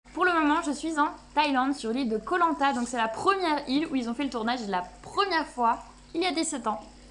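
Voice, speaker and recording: Noticeable background noise sits behind this woman's voice. She speaks at a fairly quick pace and a high pitch. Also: lively intonation. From Belgium. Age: 20s. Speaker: travel vlogger. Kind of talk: casual vlog talk. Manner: animated.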